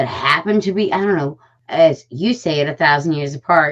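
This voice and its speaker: A woman's very deep, low voice, animated in tone, with lively intonation at a fairly slow pace. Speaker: podcast co-host. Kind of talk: casual chat. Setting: live stream.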